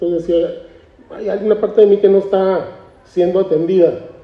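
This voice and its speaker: A man speaks at a high pitch. Noticeable background noise sits under his voice. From Mexico, Tijuana (Baja California border). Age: 60s. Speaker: artist. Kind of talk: interview at a book presentation.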